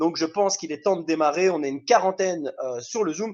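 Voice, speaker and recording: Against a quiet background, a man with a Belgian accent talks at a fairly quick pace with lively intonation. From Belgium. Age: 20s. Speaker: network marketing trainer. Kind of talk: online training presentation. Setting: video call.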